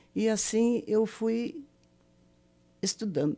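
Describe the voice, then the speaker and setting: A woman's dark, mellow tone. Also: very clean recording, silent background. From southern Brazil, Paraná. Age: 70s. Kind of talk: interview testimony.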